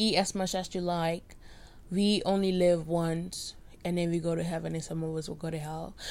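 Her pitch fairly low, a woman speaks at a moderate pace with fairly even intonation. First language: Spanish. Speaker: podcaster, college student. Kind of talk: casual solo rant. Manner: rambling, halting.

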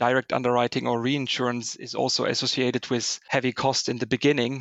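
In a German accent, a man talks at a medium pitch with monotone, flat intonation. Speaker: corporate risk finance director. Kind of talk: interview.

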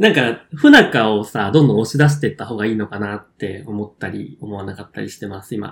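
A man with a fairly low pitch speaks at a fairly quick pace with hardly any pauses, in a plain, everyday voice. His pitch varies in an ordinary way, while his loudness swings a lot. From Kyushu, Japan. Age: 20s. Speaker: podcast co-host. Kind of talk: casual chat.

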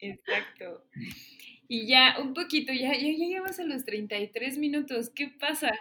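A woman speaks very slowly in a raised, projected voice at a high pitch. Her tone is bright and sharp, and her intonation is lively. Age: 30s. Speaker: podcast host. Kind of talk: casual chat.

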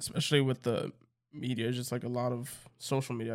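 Speaking at a very fast pace, a man keeps a medium pitch and a monotone, flat intonation. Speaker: podcast co-host. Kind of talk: casual chat. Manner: joking, sarcastic.

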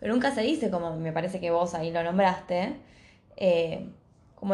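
A woman speaks with a Rioplatense accent, somewhat breathy. There is audible room echo. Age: 20s. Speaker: podcast co-host. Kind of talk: casual chat.

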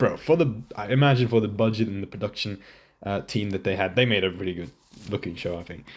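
A man with a fairly low pitch talks at a very fast pace in a very clean recording with a silent background. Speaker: podcast host. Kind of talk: casual anime review monologue. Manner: casual, halting with many fillers.

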